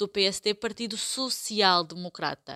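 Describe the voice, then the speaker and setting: Recorded with a dry, close sound and no echo, a woman speaks at a medium pitch with a bright, sharp tone. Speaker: podcast host, Portuguese teacher. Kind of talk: educational podcast chat.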